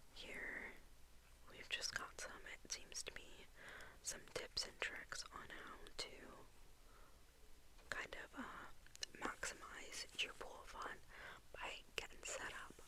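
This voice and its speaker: A woman whispers at a very slow pace with long, frequent pauses, over noticeable background noise. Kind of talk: ASMR magazine flip-through. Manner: whispered.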